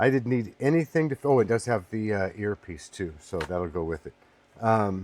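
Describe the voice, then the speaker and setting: Here is a man with a fairly low pitch at a moderate pace. He has a plain, everyday voice. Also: dry, close sound with no echo. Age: 60s. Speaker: online seller demonstrating item. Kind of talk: product demonstration. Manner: casual, with filler words.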